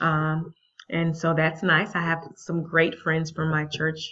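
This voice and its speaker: Here a woman with an unremarkable speaking voice and a fairly low pitch talks at a moderate pace. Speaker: vlogger, math teacher abroad. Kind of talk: casual vlog.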